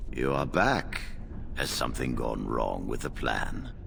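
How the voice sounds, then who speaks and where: A man in a put-on character voice at a fairly slow pace, against loud background noise. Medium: video game. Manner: formal, commanding.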